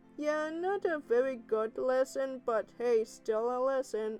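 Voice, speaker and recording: Over clear music in the background, a woman in a cartoonish character voice speaks at a high pitch and a fairly slow pace. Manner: bubbly, gentle.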